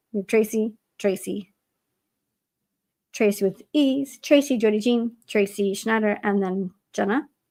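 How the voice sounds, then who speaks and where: In a plain, everyday voice, a woman with a fairly high pitch speaks at a fairly slow pace with ordinary pitch variation. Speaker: livestream writing sprint host. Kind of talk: casual livestream chat.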